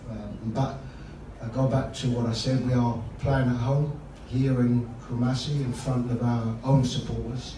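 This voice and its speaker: A man talks at a fairly slow pace with long, frequent pauses and monotone, flat intonation, over noticeable background noise and audible room echo. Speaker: football head coach. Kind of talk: press conference answer. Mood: calm, measured. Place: hall.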